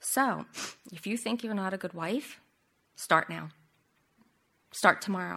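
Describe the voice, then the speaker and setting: On a very clean recording with a silent background, a woman speaks at a fairly slow pace in a medium pitch. Her bright, sharp tone has vocal fry and ordinary pitch variation. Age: 50s. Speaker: women's Bible study leader. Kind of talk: Bible study teaching.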